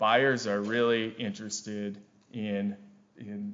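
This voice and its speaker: A man with a Wisconsin accent talks at a medium pitch. His intonation is monotone and flat. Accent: Wisconsin accent, noticeable. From Wisconsin, US Upper Midwest. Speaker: forester and carbon project director. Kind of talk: conference presentation. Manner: frequent fillers and repetitions.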